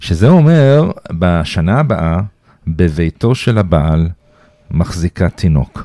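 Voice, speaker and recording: A man with a very deep, low voice and a slight American accent talks at a very slow pace, his intonation lively and his pauses long and frequent. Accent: slight American accent in Hebrew. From Iran. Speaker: Iran expert and lecturer. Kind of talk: casual chat.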